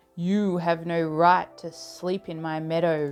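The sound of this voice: Over music in the background, a put-on character voice at a middle pitch moves along at a fairly slow pace.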